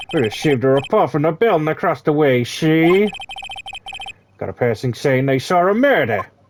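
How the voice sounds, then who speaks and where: Gruff and fairly high, a man's put-on character voice proceeds at a moderate pace. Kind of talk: hard-boiled detective talk.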